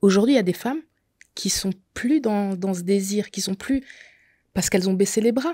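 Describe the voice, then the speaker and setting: A woman speaks at a moderate pace with ordinary pitch variation and a dark, mellow tone. Her voice is somewhat breathy against a quiet background. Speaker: makeup artist sharing her endometriosis story; podcast guest. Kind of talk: testimony. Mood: earnest, personal testimony. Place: studio. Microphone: studio mic.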